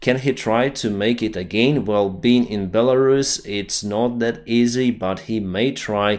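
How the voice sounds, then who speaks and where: In a very clean recording with a silent background, a man with a non-native accent speaks at medium pitch. His pace is fairly slow, with hardly any pauses and fairly even intonation. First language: not English. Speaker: news commentator. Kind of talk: video commentary on news.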